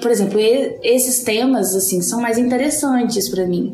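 Over music in the background, a woman talks at a fairly high pitch with ordinary pitch variation. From Brazil, Minas Gerais. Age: 30s. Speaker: podcast co-host. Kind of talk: casual chat. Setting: in person, recorded live together.

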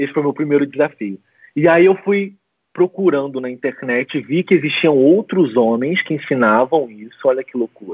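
A man speaks at a moderate pace. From Brazil, Macaé, Rio de Janeiro state. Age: 30s. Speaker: relationship coach. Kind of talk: casual interview on a livestream.

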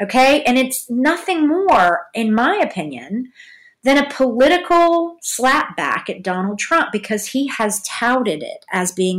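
In a Southern US accent, a woman talks at a high pitch with very wide pitch swings, captured in a very clean recording with a silent background. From Georgia, US South. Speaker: podcast host. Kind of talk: casual solo commentary. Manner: halting, many fillers.

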